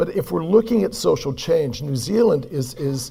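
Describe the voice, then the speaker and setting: With an American accent, a man speaks at a moderate pace. His voice is somewhat breathy, with lively intonation. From California, US. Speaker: performance coach. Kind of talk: conference keynote talk.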